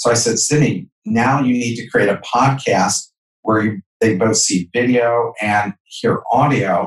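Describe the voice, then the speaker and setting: A somewhat breathy man at a very slow pace, with fairly even intonation. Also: medium pitch for a man. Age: 50s. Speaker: entrepreneur and author. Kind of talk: interview.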